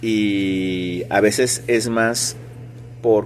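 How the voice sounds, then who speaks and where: With noticeable background noise behind him, a man speaks at a fairly low pitch with fairly even intonation. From Sinaloa, Mexico. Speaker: music teacher. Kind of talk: interview. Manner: conversational.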